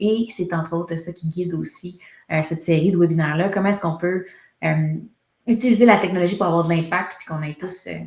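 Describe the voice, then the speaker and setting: A somewhat breathy, fairly low-pitched woman's voice, fairly quick in pace and fairly even in intonation. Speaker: HubSpot consultancy founder, webinar host. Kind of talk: webinar presentation.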